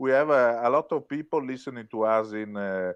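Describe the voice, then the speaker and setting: A medium-pitched man's voice with an Italian accent and lively intonation. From Italy. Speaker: rock musician. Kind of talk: interview. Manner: hesitant, many filler words.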